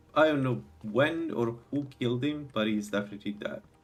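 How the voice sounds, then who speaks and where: A man speaks with a strong Italian accent. His pitch is medium and his pace moderate. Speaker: video game streamer. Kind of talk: live gameplay commentary. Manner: halting.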